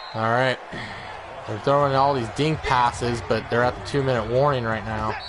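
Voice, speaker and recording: With noticeable background noise behind him, the man talks at a moderate pace as audible room echo rings around his words. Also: medium pitch for a man. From Washington state, US. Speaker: gaming streamer. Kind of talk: gameplay commentary. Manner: loud, excitable.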